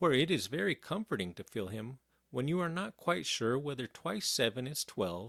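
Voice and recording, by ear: Lively intonation in a natural read-aloud voice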